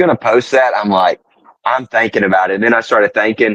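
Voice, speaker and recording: A man with a Southern US accent and a fairly low-pitched voice. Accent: soft Southern. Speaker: podcast guest. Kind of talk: casual chat. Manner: gentle, soft-spoken.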